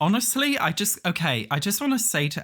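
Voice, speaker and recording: Someone speaks with an English accent on a very clean recording with a silent background. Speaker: YouTuber. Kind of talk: video diary rant. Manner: loud.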